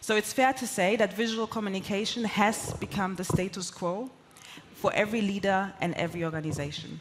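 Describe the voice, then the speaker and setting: A woman with a German accent speaks at a fairly quick pace and a medium pitch with ordinary variation, over noticeable background noise. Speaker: corporate sales executive and conference speaker. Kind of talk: conference keynote talk.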